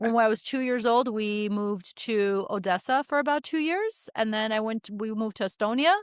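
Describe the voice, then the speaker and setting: Someone with a Russian accent speaks at a moderate pace with hardly any pauses. The pitch variation is ordinary. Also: woman, fairly high pitch for a woman. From Los Angeles, US (from age 9; born in Baku, raised partly in former Soviet Union). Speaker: beauty industry executive and financial educator. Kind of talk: podcast interview.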